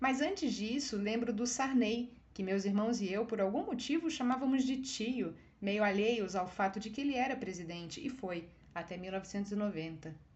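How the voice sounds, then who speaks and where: Fairly high in pitch, a woman speaks with a Brazilian accent and lively intonation. Noticeable background noise and audible room echo fill the recording. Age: 40s. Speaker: writer. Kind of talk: reading aloud.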